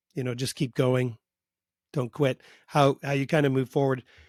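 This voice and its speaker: A man with a Canadian accent and a plain, everyday voice, medium in pitch, at a moderate pace, with a dry, close sound free of echo and a very clean recording on a silent background. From Canada. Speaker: podcast host. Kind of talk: casual interview chat.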